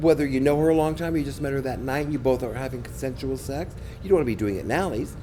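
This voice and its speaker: A man with a medium pitch talks in an animated tone at a very fast pace, with audible room echo around him. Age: 60s. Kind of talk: interview.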